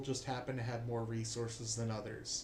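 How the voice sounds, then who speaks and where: Audible room echo surrounds a man's medium-pitched voice. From United States. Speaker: political commentator. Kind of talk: opinion monologue.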